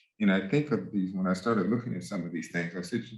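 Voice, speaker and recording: Over audible room echo, a man speaks very fast with lively intonation. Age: 60s. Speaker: music professor. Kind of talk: lecture. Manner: halting.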